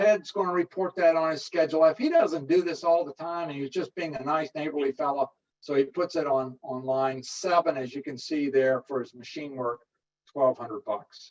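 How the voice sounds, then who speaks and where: Heard in a dry, close sound with no echo, a man with an unremarkable speaking voice talks at a moderate pace and a fairly high pitch, with ordinary pitch variation and big swings in loudness. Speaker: tax educator presenter. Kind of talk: webinar lecture.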